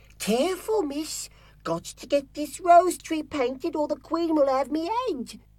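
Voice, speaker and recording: In a put-on character voice, the speaker goes at a moderate pace with ordinary pitch variation and big swings in loudness. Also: woman, high pitch for a woman. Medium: video game. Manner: deferential, says miss.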